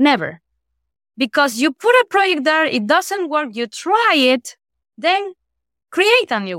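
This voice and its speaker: In a Spanish accent, a high-pitched woman speaks fairly slowly with long, frequent pauses, very wide pitch swings and big swings in loudness, in a dry, close sound with no echo. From Ecuador, Guayaquil. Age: 30s. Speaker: leadership trainer and activist. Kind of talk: interview.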